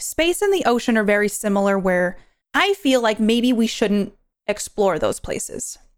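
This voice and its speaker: A woman speaks at a moderate pace in a fairly high pitch. It is an unremarkable speaking voice. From New York. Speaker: podcast host and Twitch streamer. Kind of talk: solo movie review monologue.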